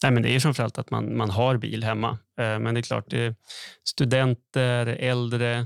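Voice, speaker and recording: Recorded very cleanly against a silent background, a man talks in a monotone, flat intonation with a dry, close sound and no echo. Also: medium pitch for a man, moderate pace. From northern Sweden, Skellefteå. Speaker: economist podcast co-host. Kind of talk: casual explanatory chat.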